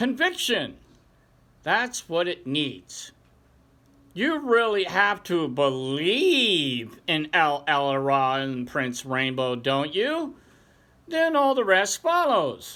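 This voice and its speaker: A very slow, high-pitched put-on character voice from a man. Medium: read story.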